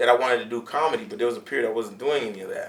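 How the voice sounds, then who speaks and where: With very wide pitch swings, a man speaks in a Haitian accent over noticeable background noise. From Miami, Florida, Haitian-American household. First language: Haitian Creole. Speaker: comedian. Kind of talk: casual interview chat.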